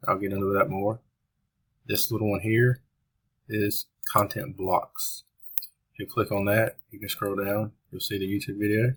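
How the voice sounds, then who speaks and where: Somewhat breathy and fairly low in pitch, a man speaks at a moderate pace in a monotone, flat intonation, with long, frequent pauses and big swings in loudness. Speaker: web developer demonstrating software. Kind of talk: tutorial. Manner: casual.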